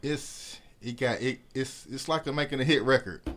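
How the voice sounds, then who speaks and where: An ordinary speaking voice from a man, at a moderate pace with ordinary pitch variation. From US South, East Point, Atlanta, Georgia. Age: 30s. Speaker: clothing designer. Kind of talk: casual chat.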